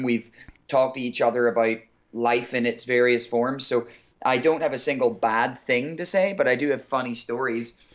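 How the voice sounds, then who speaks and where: A man with an Irish accent, a medium pitch and a moderate pace. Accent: Irish, somewhat softer than typical. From Ireland. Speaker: singer. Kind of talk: interview.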